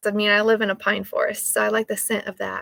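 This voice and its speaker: In a Texas accent, a woman speaks with a bright, sharp tone at a fairly high pitch, the sound dry and close with no echo. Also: very clean recording, silent background. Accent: Texas Southern US. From North Texas. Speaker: small soap business owner livestreaming. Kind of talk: casual livestream chat. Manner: hesitant, many fillers.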